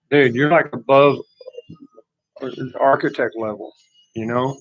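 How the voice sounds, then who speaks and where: With a Texas accent, a man speaks at a medium pitch. His intonation stays fairly even. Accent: rural Texas Southern. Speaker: livestreamer. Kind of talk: casual chat.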